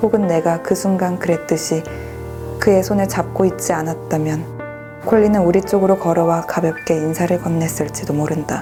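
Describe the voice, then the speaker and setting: A woman with a fairly low pitch at a moderate pace, with music in the background. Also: lively intonation. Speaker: book reader / narrator. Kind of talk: soothing audiobook reading for relaxation / sleep.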